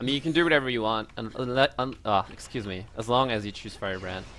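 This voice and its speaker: Male voice with a bright, sharp tone and ordinary pitch variation. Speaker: speedrunner. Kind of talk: live gameplay commentary. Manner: stuttering.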